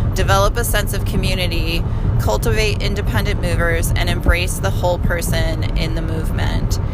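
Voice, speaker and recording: A woman speaks at a moderate pace in a room with audible echo. Noticeable background noise is present. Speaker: podcast co-host. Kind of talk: casual chat. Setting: in a car.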